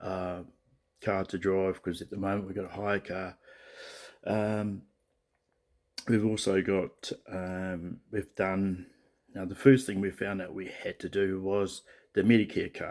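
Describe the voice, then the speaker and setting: Quiet and fairly low-pitched, a man speaks with a New Zealand accent in a monotone, flat delivery, with big swings in loudness and long, frequent pauses, on a very clean recording with a silent background. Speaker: vlogger, truck driver moving abroad. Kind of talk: casual video diary. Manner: speaking quietly; halting, many fillers.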